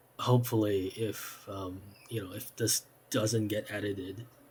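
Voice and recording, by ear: A man talks at a fairly low pitch and a fairly slow pace. His tone is slightly mellow and his intonation fairly even.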